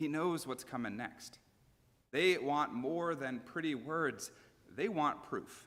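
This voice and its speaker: Speaking at a fairly slow pace, this is a normal speaking voice. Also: man. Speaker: pastor. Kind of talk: sermon; conversational sermon delivery with humor.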